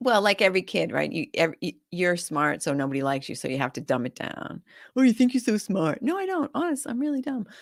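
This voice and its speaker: At a very fast pace, a medium-pitched woman with an American accent uses very wide pitch swings and vocal fry on a very clean recording with a silent background. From rural New Hampshire, US. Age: 60s. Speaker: real estate investor and author. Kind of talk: casual interview chat.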